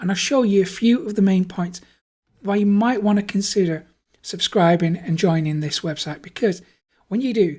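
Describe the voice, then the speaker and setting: In a very clean recording with a silent background, a woman with a somewhat breathy, dark, mellow tone speaks at medium pitch with ordinary pitch variation. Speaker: online marketing YouTuber. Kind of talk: screen-share tutorial. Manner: enthusiastic.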